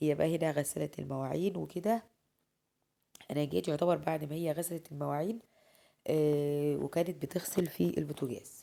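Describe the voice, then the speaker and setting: The woman's voice has a very deep, low pitch and a dark, mellow tone, with ordinary pitch variation at a moderate pace. The recording is very clean, with a silent background. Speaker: lifestyle vlogger. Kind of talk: voice-over narration of daily routine video. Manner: casual.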